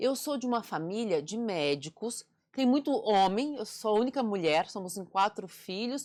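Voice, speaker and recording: A woman with a plain, everyday voice speaks at a fairly slow pace, her medium-pitched delivery rising and falling in a lively way. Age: 40s. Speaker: communication and public speaking mentor, author. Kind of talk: interview conversation.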